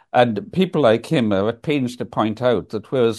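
Against a quiet background, a man with a Scottish Highlands and Islands accent speaks at a moderate pace, his tone dark and mellow, his intonation lively. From Scotland, Isle of Lewis (Hebrides). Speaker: environmental campaigner and author. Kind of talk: interview storytelling.

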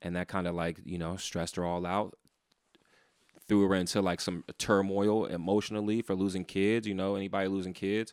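A man's very deep, low voice, monotone and flat at a fairly quick pace, on a very clean recording with a silent background. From San Francisco, Fillmore district. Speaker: rapper. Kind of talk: casual chat.

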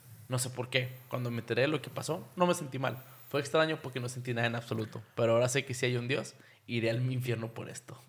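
At a very fast pace, a man with a Mexican accent speaks somewhat breathily at medium pitch with fairly even intonation. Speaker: podcast host. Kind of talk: casual chat.

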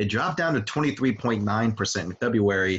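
A man speaks at a fairly slow pace in a fairly low, somewhat breathy voice with ordinary pitch variation against a quiet background. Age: 20s. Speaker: sports podcast host and site editor. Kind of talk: casual sports chat.

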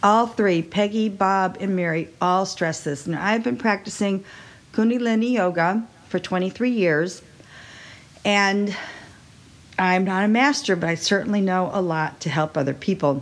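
A woman in an American accent, with a plain, everyday voice, medium pitch, ordinary pitch variation and a fairly slow pace. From Texas. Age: 60s. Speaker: podcast host, wine seller and yoga teacher. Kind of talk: solo podcast monologue.

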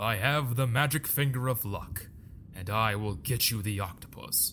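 At a moderate pace, a man puts on a character voice at medium pitch amid clear background noise. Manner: confident, heroic.

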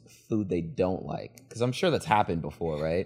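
A man's voice over music in the background. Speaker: podcast host. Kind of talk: infomercial pitch, scripted ad read for a podcast production service. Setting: studio, video podcast.

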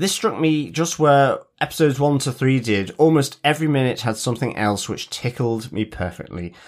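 Speaking in an ordinary speaking voice at a moderate pace, a man with a fairly high pitch uses lively intonation and hardly any pauses in a very clean recording with a silent background. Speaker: podcast co-host. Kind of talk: casual chat.

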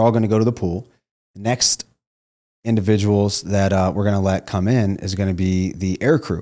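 In a very clean recording with a silent background, a man talks at a moderate pace with a Midwestern American accent. His tone is dark and mellow, his pitch fairly low, and his intonation fairly even. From Ohio, small town. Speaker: former Navy SEAL and network marketing entrepreneur. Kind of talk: casual interview.

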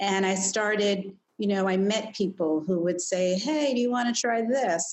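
A woman's plain, everyday voice at a medium pitch, moderate in pace, with lively intonation. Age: 50s. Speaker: psychologist. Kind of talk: interview.

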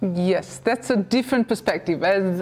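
A medium-pitched woman with a Romanian accent and ordinary pitch variation. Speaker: TV talk show host. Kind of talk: interview. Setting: TV studio.

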